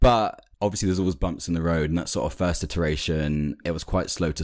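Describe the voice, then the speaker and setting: A man with a London accent and vocal fry speaks at a very fast pace on a very clean recording with a silent background. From London, England.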